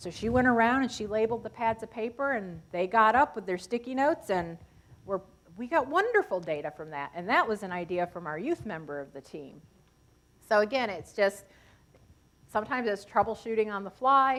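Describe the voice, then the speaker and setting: In an American accent, a woman with a fairly high pitch talks at a fairly quick pace, her pitch swinging very widely and her loudness swinging a lot. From Seneca Nation, western New York. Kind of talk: lecture Q&A answer.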